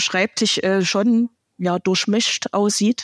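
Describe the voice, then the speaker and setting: Here is a woman with a normal speaking voice at medium pitch, using fairly even intonation at a fairly slow pace. The sound is dry and close with no echo, on a very clean recording with a silent background. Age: 50s. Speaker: probation officer. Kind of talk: interview.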